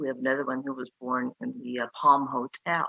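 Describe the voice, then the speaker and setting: A woman with a Chinese accent speaks in a very deep, low voice that has a bright, sharp tone. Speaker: museum founder. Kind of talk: public meeting presentation. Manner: halting, many fillers.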